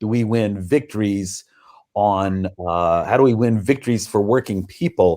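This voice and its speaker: Someone speaks with an American accent on a very clean recording with a silent background. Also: man. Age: 60s. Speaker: author and political activist. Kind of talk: interview conversation. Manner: halting, many fillers and restarts.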